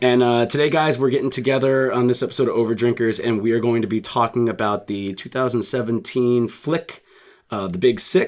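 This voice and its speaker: Here is a man with an unremarkable speaking voice. His pitch is medium with ordinary variation, and his pace is moderate. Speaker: podcast host.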